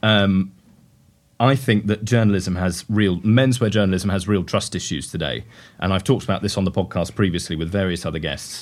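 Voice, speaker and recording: In a very clean recording with a silent background, a man with a British accent speaks fairly quickly at a fairly low pitch. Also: ordinary pitch variation. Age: young. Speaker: podcast host, fashion journalist. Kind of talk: interview. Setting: showroom.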